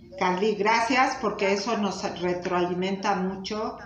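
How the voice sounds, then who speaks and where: Noticeable background noise and audible room echo surround the recording. A woman speaks at a fairly slow pace with a medium pitch. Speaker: spiritual teacher. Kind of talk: talk and guided meditation. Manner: soft-spoken.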